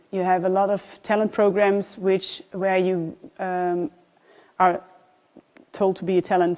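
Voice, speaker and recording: With a Dutch accent, a woman speaks at a fairly slow pace. Her voice is medium in pitch and monotone, with flat intonation. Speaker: design awards programme manager. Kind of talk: presentation. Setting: live event with audience. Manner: halting, many fillers.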